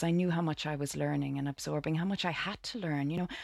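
A woman's very deep, low voice with a Dublin accent and ordinary pitch variation, on a very clean recording with a silent background. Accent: Dublin Irish. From Ireland, Dublin. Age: 40s. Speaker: actress. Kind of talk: interview. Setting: studio. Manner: halting.

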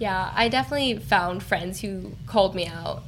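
With a General American accent, a woman speaks using lively intonation. Background noise is noticeable. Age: 20s. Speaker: college student. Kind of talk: casual interview chat.

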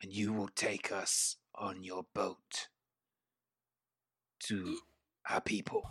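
Putting on a character voice, a man speaks fairly low at a very slow pace with long, frequent pauses. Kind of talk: tabletop game master voicing. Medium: actual play. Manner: stiff, formal, solemn.

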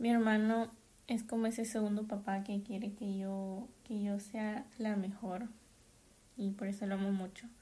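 Fairly high in pitch yet dark and mellow in tone, a somewhat breathy woman speaks at a fairly slow pace in a monotone, flat way. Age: 20s. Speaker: podcaster and master's student. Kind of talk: casual solo monologue.

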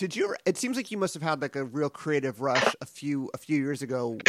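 A man with an American accent talks at a fairly quick pace and fairly high pitch in a normal speaking voice, recorded dry and close with no echo. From US West Coast, San Pedro, California. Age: 40s. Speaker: podcast host, film interviewer. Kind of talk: interview. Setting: remote call.

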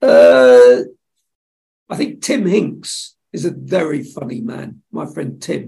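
In an English accent, a man talks at a very slow pace. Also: big swings in loudness. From England, Suffolk. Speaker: television executive. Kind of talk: casual interview.

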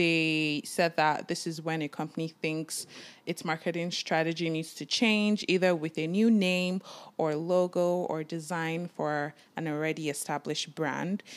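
A woman with a normal speaking voice and fairly low pitch talks at a fairly slow pace. The recording is very clean with a silent background. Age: 20s. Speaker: podcast co-host. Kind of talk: casual chat.

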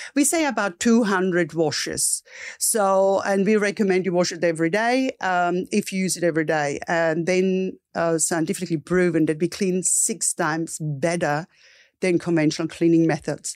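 A woman with an Austrian accent speaks at a moderate pace and a fairly low pitch, with ordinary pitch variation, on a very clean recording with a silent background. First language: German. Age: 50s. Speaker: entrepreneur. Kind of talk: interview.

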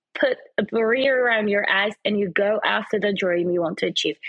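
Lively intonation in a woman's fairly high voice, moderately paced, an unremarkable speaking voice. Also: very even loudness. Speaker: presenter and fashion model. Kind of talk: casual interview chat.

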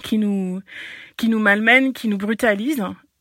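The sound is dry and close, with no echo. A woman speaks at a fairly high pitch with fairly even intonation. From French overseas territory, Breton. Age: 30s. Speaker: local politician and ecology activist. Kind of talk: prepared reaction statement.

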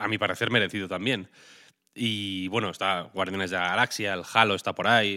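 In a very clean recording with a silent background, a man with a fairly low pitch and a bright, sharp tone speaks in a flat monotone at a moderate pace, leaving long, frequent pauses. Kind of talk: casual news chat.

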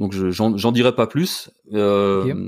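Recorded very clean over a silent background with a dry, close sound and no echo, a man has an ordinary speaking voice at medium pitch with ordinary pitch variation. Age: 50s. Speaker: YouTuber and cosplay performer. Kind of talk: casual interview.

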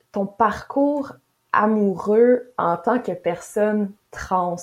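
A woman's medium-pitched voice, with normal rise and fall in pitch, comes through against a quiet backdrop. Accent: Quebec. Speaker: feminist podcast host. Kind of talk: interview conversation.

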